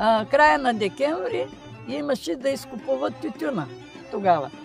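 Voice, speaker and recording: Music plays in the background as a woman speaks fairly slowly, her fairly high voice swinging very widely in pitch. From Bulgaria. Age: old. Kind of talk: interview answer.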